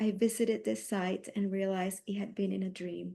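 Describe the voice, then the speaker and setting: A woman speaks at a moderate pace and a medium pitch. Her tone is dark and mellow. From Colombia. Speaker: artist. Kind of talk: reading aloud. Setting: stage with audience. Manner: halting.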